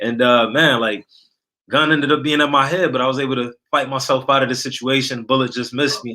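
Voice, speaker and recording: A man talks with an American accent and a plain, everyday voice. His pace is fairly quick. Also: medium pitch for a man. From Niagara Falls, New York. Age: 30s. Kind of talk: testimony.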